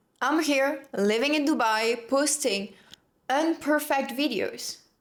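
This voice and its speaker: A high-pitched woman's voice on a very clean recording with a silent background. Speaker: self-help content creator. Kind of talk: motivational monologue. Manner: animated.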